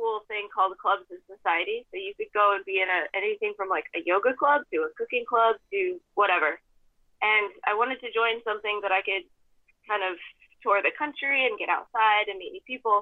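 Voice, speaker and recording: A woman with an American accent talks in a plain, everyday voice at a moderate pace, her fairly high pitch showing ordinary variation while her loudness swings widely. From US West, Idaho. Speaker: former pro mountain biker and toxicologist. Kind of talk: casual interview.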